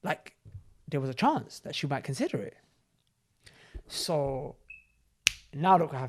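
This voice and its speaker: With a London accent, a man speaks in a fairly high, animated voice, his loudness swinging widely, with long, frequent pauses. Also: ordinary pitch variation, moderate pace. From south London, England. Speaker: podcast host. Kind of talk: casual chat.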